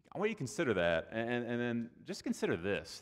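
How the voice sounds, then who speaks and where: In a very clean recording with a silent background, a man with an American accent talks at a moderate pace in a medium-pitched voice, using very wide pitch swings and vocal fry. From Texas, outside Austin. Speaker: pastor. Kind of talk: sermon.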